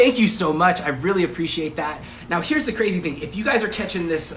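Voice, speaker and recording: Over noticeable background noise and audible room echo, a man talks at a very fast pace, high in pitch with ordinary pitch variation. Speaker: online marketing coach. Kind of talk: live stream class. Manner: casual, many filler words.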